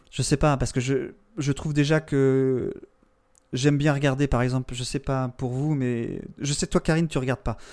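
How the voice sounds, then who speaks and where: A man with a fairly high pitch speaks at a fairly slow pace with fairly even intonation. The recording is very clean, with a silent background. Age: 40s. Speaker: podcaster. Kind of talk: casual chat.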